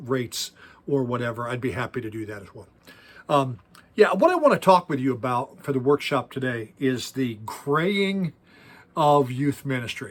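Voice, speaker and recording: A man talks at a moderate pace and a medium pitch in a plain, everyday voice. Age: 60s. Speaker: youth pastor. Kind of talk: workshop talk.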